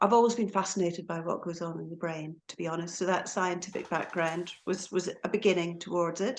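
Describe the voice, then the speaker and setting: A woman with a Scottish accent talks at a fairly quick pace with hardly any pauses, her pitch fairly low and her intonation fairly even. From Scotland, Aberdeen. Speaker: hypnotherapist and lecturer. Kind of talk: podcast interview.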